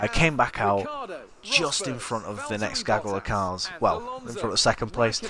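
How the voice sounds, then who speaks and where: A man with a northern English accent, his pitch swinging very widely. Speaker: gaming streamer. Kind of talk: live gameplay commentary. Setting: live stream. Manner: casual, halting with fillers.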